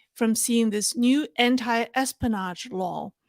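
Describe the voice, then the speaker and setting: A woman with a fairly high pitch and a slight non-native accent, at a fairly slow pace. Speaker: political commentator. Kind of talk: livestream commentary. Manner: halting, many fillers.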